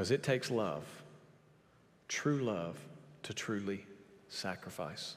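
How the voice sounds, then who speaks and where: Speaking at a fairly slow pace with long, frequent pauses, a man with a fairly low pitch uses lively intonation amid audible room echo. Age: 30s. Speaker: pastor. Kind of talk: sermon. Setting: church.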